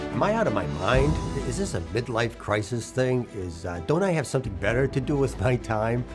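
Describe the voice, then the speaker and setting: Music plays in the background as a man talks at a fairly quick pace. His medium-pitched voice has very wide pitch swings. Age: 60s. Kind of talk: inspirational talk to camera.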